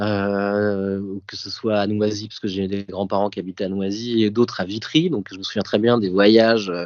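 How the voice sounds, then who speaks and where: At a moderate pace, a man with a fairly low pitch speaks in a monotone, flat intonation, with big swings in loudness. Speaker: podcast guest, print production manager. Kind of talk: casual interview, personal recollection. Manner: hesitant, many fillers.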